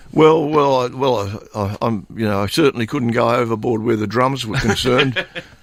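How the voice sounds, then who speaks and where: With an Australian accent, a man of medium pitch talks at a moderate pace with hardly any pauses. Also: ordinary pitch variation. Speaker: blues guitarist and singer. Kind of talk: radio interview. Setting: radio studio. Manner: halting, many fillers and repetitions.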